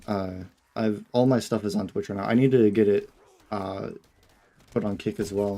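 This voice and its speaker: A man speaks quietly at a fairly low pitch in a dark, mellow tone. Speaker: gaming streamer. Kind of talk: casual live-stream chat.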